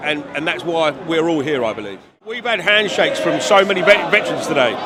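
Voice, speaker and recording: A man with an English accent speaks at a fairly quick pace and a high pitch, with hardly any pauses. Audible room echo and noticeable background noise are present. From England. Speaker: rally attendee, hoodie seller. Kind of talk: street interview. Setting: outdoors at a rally. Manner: halting.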